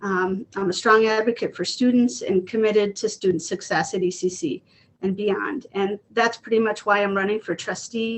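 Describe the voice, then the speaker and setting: A woman with a medium pitch speaks at a moderate pace. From Elgin, Illinois, US Midwest. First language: Spanish. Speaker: election candidate, teacher. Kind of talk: candidate forum opening statement. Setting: video call from home.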